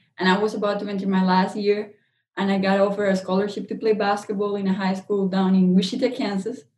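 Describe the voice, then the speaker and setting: Very fast and somewhat breathy, a woman talks in a Spanish accent with monotone, flat intonation. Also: medium pitch for a woman. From Colombia. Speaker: chemical engineer and CEO. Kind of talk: interview.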